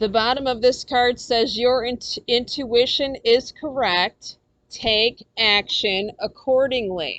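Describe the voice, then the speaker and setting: A loud woman with a high pitch speaks at a very slow pace, with ordinary pitch variation. The sound is dry and close, with no echo. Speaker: tarot reader. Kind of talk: tarot reading. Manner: loud, animated.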